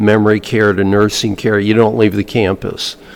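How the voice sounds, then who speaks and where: A man speaks with an American accent at a fairly low pitch. His intonation is monotone and flat, and there is noticeable background noise. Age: 70s. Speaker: Vietnam veteran and author. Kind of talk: interview conversation.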